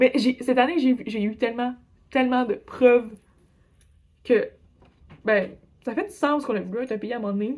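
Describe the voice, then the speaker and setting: In a Quebec accent, a woman with a high voice speaks at a moderate pace in an animated tone, her pitch varying in an ordinary way and her speech broken by long, frequent pauses. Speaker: exchange student vlogger. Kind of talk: casual vlog storytelling.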